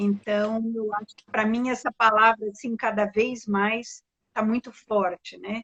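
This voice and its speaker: Her intonation stays monotone and flat. The woman's pitch sits fairly high. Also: fairly slow pace. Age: 60s. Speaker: design curator. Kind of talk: casual live-stream conversation.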